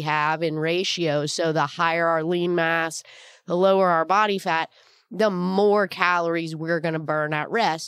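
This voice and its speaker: On a very clean recording with a silent background, a woman speaks at a fairly low pitch. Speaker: fitness and nutrition podcast host. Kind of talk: solo educational talk.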